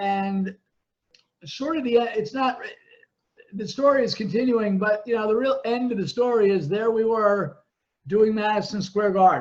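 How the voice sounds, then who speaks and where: This man talks at a moderate pace with a high-pitched voice. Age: 60s. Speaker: former wrestling promotion owner. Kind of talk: casual chat. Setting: podcast.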